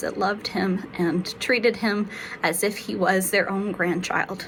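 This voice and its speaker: Noticeable background noise sits under a fairly slow speaker with an American accent. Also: woman. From South Carolina. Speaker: pastor. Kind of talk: devotional reflection. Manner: halting, many fillers.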